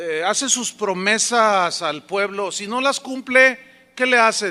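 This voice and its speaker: A man with a high pitch raises and projects his voice in a bright, sharp tone. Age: 60s. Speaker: pastor. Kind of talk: sermon. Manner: conversational, anecdotal with acted dialogue.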